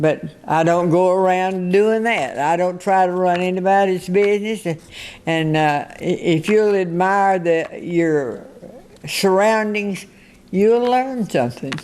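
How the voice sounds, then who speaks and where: A woman with a Texan accent at a fairly slow pace, her loudness very even. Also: medium pitch for a woman, ordinary pitch variation. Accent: Texan Southern. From US South, northeast Texas. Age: 80s+. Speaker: centenarian interviewee. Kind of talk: radio interview.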